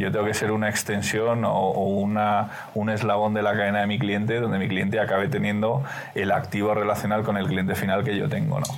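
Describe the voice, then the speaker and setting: In a Spanish accent, a man with a fairly low pitch speaks at a fairly quick pace with monotone, flat intonation and very even loudness, with audible room echo and noticeable background noise. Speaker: business executive. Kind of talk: interview.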